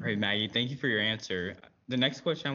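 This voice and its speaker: A man talks at a very fast pace. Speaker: panel moderator, military cadet. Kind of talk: moderated panel discussion.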